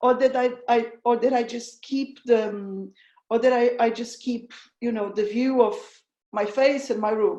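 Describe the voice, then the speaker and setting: A woman's high voice with a dark, mellow tone, a strong Portuguese accent, a fairly slow pace and fairly even intonation. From Portugal, south (tourist region). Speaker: researcher. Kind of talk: online presentation. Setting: video call. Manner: halting.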